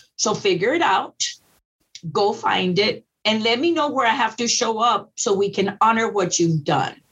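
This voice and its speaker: A woman with an American accent and an unremarkable speaking voice talks at a moderate pace and a fairly high pitch, with lively intonation and very even loudness. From Texas Rio Grande Valley. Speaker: school district educator. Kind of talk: interview.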